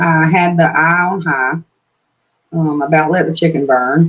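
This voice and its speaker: A woman with an American accent, fairly low in pitch and relaxed in tone, at a fairly slow pace with ordinary pitch variation. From Georgia, US South. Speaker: YouTuber. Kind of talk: live stream chat. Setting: live stream on tablet. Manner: relaxed, hesitant with fillers.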